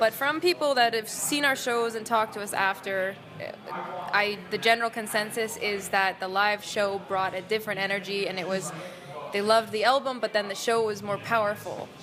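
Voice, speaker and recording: A woman talks fairly quickly against noticeable background noise. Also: fairly high pitch for a woman, ordinary pitch variation. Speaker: rock band singer. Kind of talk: interview. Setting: music festival.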